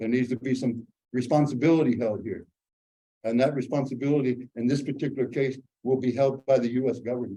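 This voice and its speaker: Very fast and monotone, a man at medium pitch speaks with flat intonation and a dark, mellow tone. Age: 70s. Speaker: environmental justice activist. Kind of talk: lecture.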